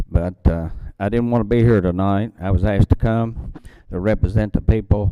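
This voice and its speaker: In an American accent, a man speaks at a moderate pace with a fairly low voice, a dark, mellow tone and ordinary pitch variation. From western Kentucky, Daviess County area. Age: 70s. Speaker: local resident speaking at public comment. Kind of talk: public comment testimony. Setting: county courthouse meeting with public.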